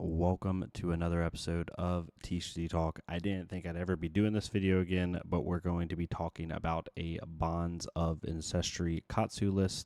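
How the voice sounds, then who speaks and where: A soft-spoken man talks in a very deep, low, dark, mellow voice with monotone, flat intonation and hardly any pauses. The recording is very clean with a silent background and a dry, close sound with no echo. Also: moderate pace. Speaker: card game content creator. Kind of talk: deck profile tutorial. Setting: home recording at night. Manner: soft-spoken, quiet.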